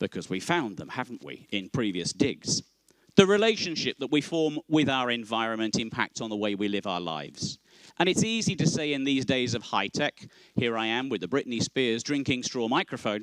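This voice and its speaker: This man has an English Midlands accent and a medium pitch. He talks at a moderate pace with lively intonation. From Northamptonshire, England. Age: 50s. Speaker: conference chair. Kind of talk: opening speech. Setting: stage with audience. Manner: formal.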